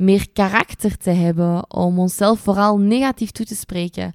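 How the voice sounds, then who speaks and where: Very slow and dark, mellow in tone, a woman speaks with a Flemish accent in a very clean, dry, close recording with no echo and a silent background. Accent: Flemish Dutch. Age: 20s. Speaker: dietitian and podcast host. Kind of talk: casual solo podcast monologue.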